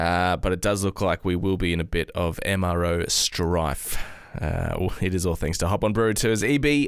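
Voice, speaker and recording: Lively intonation runs through his speech. The man has an Australian accent. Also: very clean recording, silent background. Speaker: football podcast co-host. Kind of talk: casual chat. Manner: slurs words together.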